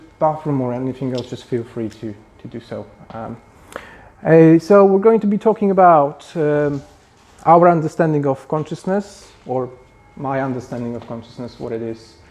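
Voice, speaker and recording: A man with a Polish accent talks at a moderate pace and a fairly high pitch. His intonation is lively, with big swings in loudness. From Poland. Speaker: spiritual group founder. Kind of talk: lecture. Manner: halting.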